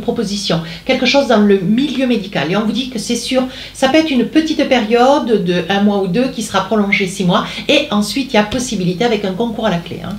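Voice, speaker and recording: Through audible room echo and noticeable background noise, a woman speaks at a fairly quick pace in a fairly high voice with ordinary pitch variation. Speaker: tarot card reader. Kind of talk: tarot reading. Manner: hesitant, many fillers.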